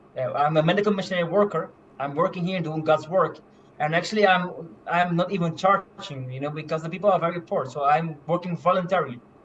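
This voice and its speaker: A man's high-pitched voice at a very fast pace, fairly even in intonation, over noticeable background noise. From Curaçao. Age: 20s. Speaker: medical missionary. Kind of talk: testimony. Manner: halting, many fillers.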